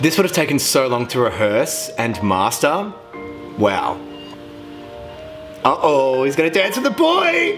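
A man speaks with long, frequent pauses. Clear music is heard in the background. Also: fairly slow pace. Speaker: reaction video host. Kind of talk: casual reaction commentary. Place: home room. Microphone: earbuds.

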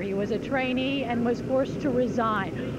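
Loud background noise sits behind a woman's dry voice with no echo. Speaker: TV field reporter. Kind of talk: live news report. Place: street.

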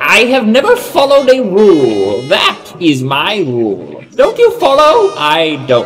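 A man talks in a put-on character voice at a fairly slow pace. Background noise is clearly audible. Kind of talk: comic parody. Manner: manic, boastful.

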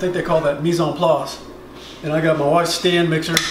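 A man with a fairly high pitch talks over noticeable background noise. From South Louisiana. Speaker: home cook. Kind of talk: casual cooking video talk to camera. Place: kitchen. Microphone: camera far.

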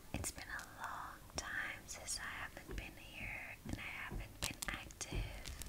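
A woman whispers at a very slow pace with hardly any pauses. Noticeable background noise runs underneath. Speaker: ASMR creator. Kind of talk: casual talk to camera, ASMR intro.

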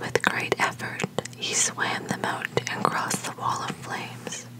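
Someone is whispering. The delivery is fairly slow. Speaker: storyteller reading aloud. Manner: soft-spoken, hushed ASMR reading voice.

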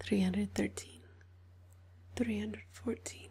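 A soft-spoken woman talks at a fairly slow pace in a relaxed tone. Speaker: ASMR creator. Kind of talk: ASMR counting to help sleep. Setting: binaural 3D microphone, ear to ear. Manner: soft-spoken, relaxed, slow counting. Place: home room. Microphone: studio mic.

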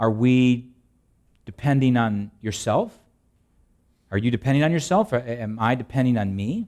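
A man speaks at a moderate pace with ordinary pitch variation. His long, frequent pauses sit over a quiet background. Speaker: preacher. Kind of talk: sermon. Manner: reads scripture aloud in a solemn, steady cadence, then explains it; conversational, humorous, with filler words and laughs. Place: church.

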